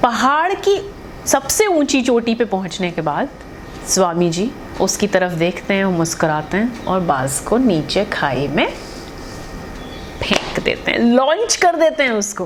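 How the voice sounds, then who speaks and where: A woman speaks at a medium pitch with very wide pitch swings. There is noticeable background noise. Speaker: radio jockey. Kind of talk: motivational storytelling to camera. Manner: casual, conversational.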